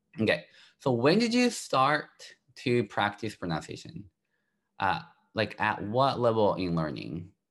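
In a Japanese accent, a man speaks at a fairly slow pace with long, frequent pauses. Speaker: language teacher and podcast host. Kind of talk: casual chat, bilingual lesson. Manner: halting, fillers, switches between Japanese and English.

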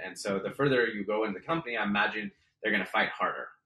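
The speaker is a man with an American accent. He talks at a very fast pace. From San Francisco Bay Area, California. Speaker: startup attorney and investor. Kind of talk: interview.

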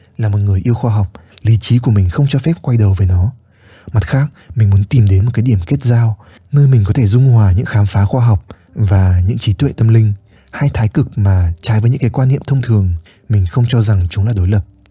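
A man talks fairly quickly in a dark, mellow tone, fairly low and somewhat breathy, with very even loudness. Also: ordinary pitch variation. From northern Vietnam, Hanoi. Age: 20s. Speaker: podcast host, content creator. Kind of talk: reflective solo podcast monologue.

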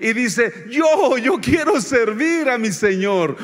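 A man's high, animated voice with lively intonation over noticeable background noise. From Mexico, Oaxaca highlands. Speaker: visiting pastor. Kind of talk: sermon. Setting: church.

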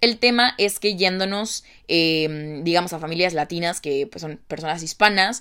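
On a very clean recording with a silent background, a woman with a fairly low pitch and a bright, sharp tone talks at a fairly slow pace with ordinary pitch variation. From Mexico. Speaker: podcast host. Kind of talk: casual monologue.

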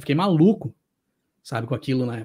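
Lively intonation at a fairly quick pace on a very clean recording with a silent background. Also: man. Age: 30s. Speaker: YouTuber on motorsport and music. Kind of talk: interview conversation. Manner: animated.

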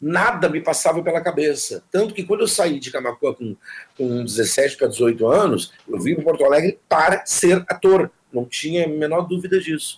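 A man's high voice moves at a moderate pace, his intonation lively. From southern Brazil (Jaguarão, Rio Grande do Sul, Uruguay border). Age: 60s. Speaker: actor and theatre teacher. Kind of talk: interview.

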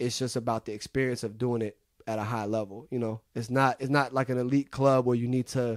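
A man with an American accent speaks at a fairly quick pace in a dark, mellow tone of medium pitch. His intonation is fairly even, and the sound is dry and close with no echo. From Seattle, US Pacific Northwest. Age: 30s. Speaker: mixing engineer. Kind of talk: interview. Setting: recording studio. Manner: casual, laid-back.

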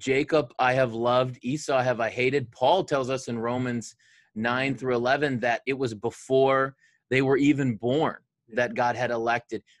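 In a Michigan accent, a man talks with monotone, flat intonation. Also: medium pitch for a man, moderate pace. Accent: Michigan (Inland North) American. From Detroit area, Michigan. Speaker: pastor, podcast co-host. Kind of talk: casual chat between co-pastors, doctrine and football.

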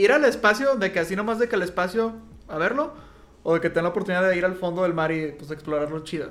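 A man's high-pitched voice with a Mexican accent, lively intonation and a very fast pace. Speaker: podcast co-host. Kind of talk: casual chat.

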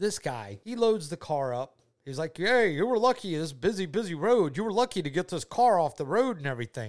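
Animated and at a high pitch, a man with a Southern US accent talks at a fairly quick pace with very wide pitch swings and hardly any pauses on a very clean recording with a silent background. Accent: Southern US (Georgia). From US South, Georgia. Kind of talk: casual faith chat and testimony.

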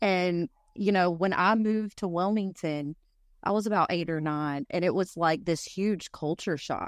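Over a quiet background, a woman with a fairly low pitch and ordinary pitch variation speaks at a moderate pace in a dry, close sound with no echo. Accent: Appalachian. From North Carolina mountains. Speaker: podcast host. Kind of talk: casual chat.

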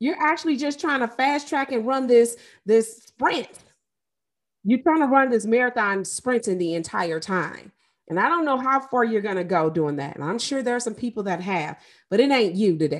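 Speaking at a moderate pace with an American accent, a woman with a fairly high pitch makes very wide pitch swings over a quiet background. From US Midwest (St. Louis, Missouri). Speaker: life and trauma coach, podcast host. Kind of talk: solo podcast monologue.

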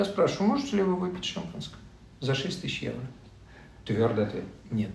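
A man talks at a fairly quick pace with very wide pitch swings, his voice carrying audible room echo over noticeable background noise. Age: 60s. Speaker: philosophy discussion group leader. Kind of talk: casual interview. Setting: studio, face to face. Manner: animated, with rhetorical questions.

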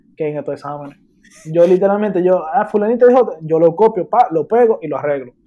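A man with a high-pitched voice. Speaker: university student, podcast guest. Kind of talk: casual chat. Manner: animated.

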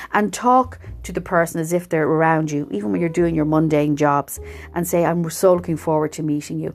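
An Irish accent from a woman with a very deep, low pitch and warm tone, fairly quick pace, ordinary pitch variation, music in the background. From Ireland. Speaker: podcast host, spiritual coach. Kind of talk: inspirational solo talk. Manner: warm, conversational.

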